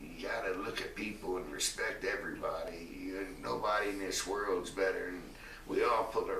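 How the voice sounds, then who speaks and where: A man speaks at a moderate pace with audible room echo and noticeable background noise. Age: 60s. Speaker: retired pro wrestler. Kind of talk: interview. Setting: at his home.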